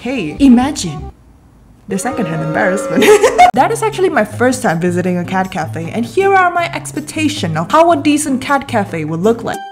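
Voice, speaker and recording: A woman talks at a moderate speed while clear music sounds behind her. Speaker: vlogger. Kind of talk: casual vlog commentary. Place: home room. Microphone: studio mic.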